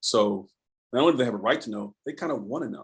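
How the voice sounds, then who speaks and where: His pace is fairly quick. The man's pitch shifts in an ordinary way. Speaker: education advocate. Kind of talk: online panel talk. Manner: fast; animated.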